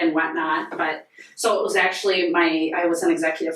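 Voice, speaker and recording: This woman has a North Dakota accent. She talks at a moderate pace. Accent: Upper Midwest (North Dakota). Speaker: nonprofit volunteer, sheriff's wife. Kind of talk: casual podcast interview. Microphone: poor audio due to technical difficulties.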